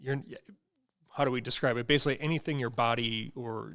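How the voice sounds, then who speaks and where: With a Wisconsin accent, the voice carries vocal fry and fairly even intonation on a very clean recording with a silent background. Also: man. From US Midwest, central Wisconsin. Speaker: livestream host for an office furniture dealer. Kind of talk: casual livestream chat. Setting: livestream.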